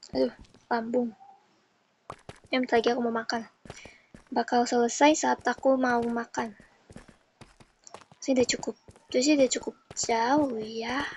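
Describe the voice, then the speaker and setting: A woman's high-pitched voice at a moderate pace, with monotone, flat intonation and long, frequent pauses. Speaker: gaming streamer. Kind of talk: casual gameplay commentary. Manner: controlled, restrained voice.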